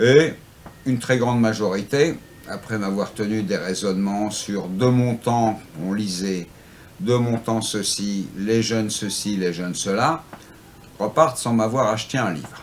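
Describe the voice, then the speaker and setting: Leaving long, frequent pauses, a man speaks at a fairly slow pace in a fairly low pitch. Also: ordinary pitch variation. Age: 60s. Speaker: antiquarian bookseller. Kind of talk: interview. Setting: in his bookshop.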